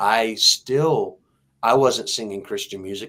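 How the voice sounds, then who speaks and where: On a very clean recording with a silent background, a man with a slight Texas accent speaks at a moderate pace. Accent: slight Texas twang. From Texas, Houston. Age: 60s. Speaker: singer-songwriter. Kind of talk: interview testimony. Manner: halting.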